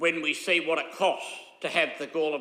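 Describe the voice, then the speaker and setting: A man with an Australian accent, a bright, sharp tone and fairly high pitch, in audible room echo. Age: 80s+. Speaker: local councillor. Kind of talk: council meeting debate. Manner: halting, many fillers.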